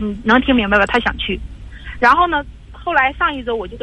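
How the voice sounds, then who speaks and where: A woman talks at a very fast pace in a high pitch with lively intonation. Background noise is noticeable. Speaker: radio call-in caller, divorced mother. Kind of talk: call-in advice conversation. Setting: phone call. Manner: forceful, assertive tone; halting, repetitive.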